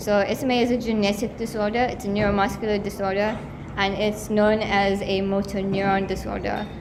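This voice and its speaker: The delivery is monotone with flat intonation, and there is audible room echo and noticeable background noise. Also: woman. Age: 20s. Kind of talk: awareness talk to a live audience. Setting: college venue with live audience, livestreamed. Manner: conversational.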